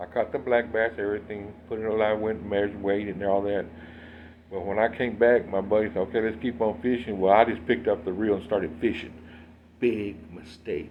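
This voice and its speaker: A man talks at a fairly quick pace in a plain, everyday voice. His intonation stays fairly even. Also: fairly low pitch for a man. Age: 60s. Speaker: fishing video host. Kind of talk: tutorial. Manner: casual, conversational.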